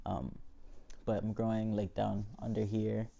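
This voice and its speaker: A man's fairly low voice with a dark, mellow tone. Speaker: vlogger. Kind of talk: casual video diary. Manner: hesitant, many fillers (um, like).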